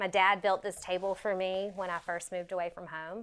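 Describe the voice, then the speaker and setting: With a Southern US accent, a woman speaks at a moderate pace and medium pitch. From US South, South Carolina. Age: 40s. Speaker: fashion designer. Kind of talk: casual studio tour. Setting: home sewing studio. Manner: casual, with frequent fillers.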